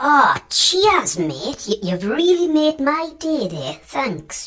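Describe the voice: In a cartoonish character voice pitched extremely high, a man speaks at a very slow pace.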